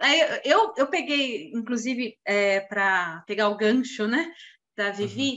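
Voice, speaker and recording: With a normal speaking voice, a woman keeps her pitch fairly high and varies it in an ordinary way. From Brazil, São Paulo. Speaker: financial planner. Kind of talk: casual chat.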